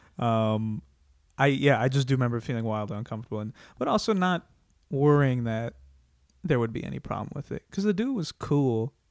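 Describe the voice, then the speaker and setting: A man with an American accent talks at a fairly quick pace and medium pitch, using lively intonation. He leaves long, frequent pauses in a very clean recording with a silent background. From US Midwest (Iowa). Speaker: stand-up comedian. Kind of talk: casual interview chat.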